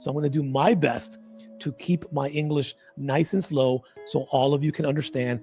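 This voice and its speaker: Music plays in the background as a man speaks at a fairly quick pace. His fairly high pitch keeps fairly even intonation. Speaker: trading educator. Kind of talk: market analysis tutorial.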